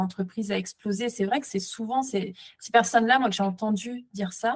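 This woman talks at a moderate pace with a medium pitch and a somewhat breathy quality. Her intonation stays fairly even. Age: 30s. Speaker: entrepreneur. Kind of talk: interview testimony. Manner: halting, many fillers.

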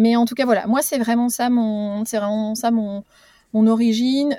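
Her dark, mellow voice is fairly high, and the woman speaks at a moderate pace with fairly even intonation. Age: 40s. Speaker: startup executive. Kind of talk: interview. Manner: halting, many hesitations.

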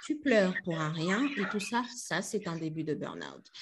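This woman talks at a fairly slow pace. Noticeable background noise can be heard around her. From DR Congo, Kinshasa. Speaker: storytelling coach and entrepreneur. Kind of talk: casual interview.

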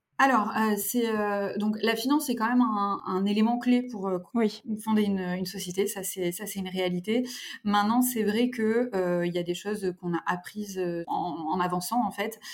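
This woman talks at a medium speed with a mid-range pitch. Her intonation changes only a little. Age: 30s. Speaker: fashion brand co-founder. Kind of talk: interview. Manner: halting.

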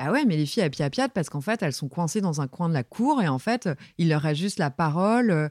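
A woman speaks at a fairly low pitch, her voice swinging very widely up and down. The sound is dry and close with no echo, on a very clean recording with a silent background. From Brittany, France (Saint-Brieuc). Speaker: music journalist, magazine editor. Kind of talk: interview. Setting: office. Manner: assertive.

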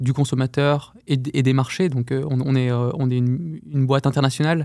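A man's medium-pitched, dark and mellow voice in a monotone, flat intonation, in a very clean recording with a silent background. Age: 30s. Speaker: running shoe product manager and elite runner. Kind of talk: interview. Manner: halting, many repetitions.

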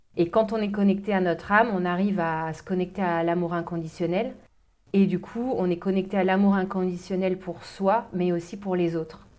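Fairly even intonation marks this moderately paced speech. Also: woman, medium pitch for a woman. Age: 40s. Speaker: life coach. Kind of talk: interview. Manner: hesitant with fillers.

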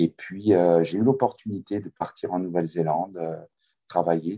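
Very deep and low-pitched, a man speaks at a fairly slow pace with fairly even intonation, the sound dry and close with no echo. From France. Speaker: kayak coach. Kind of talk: interview. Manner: halting. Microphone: poor audio quality.

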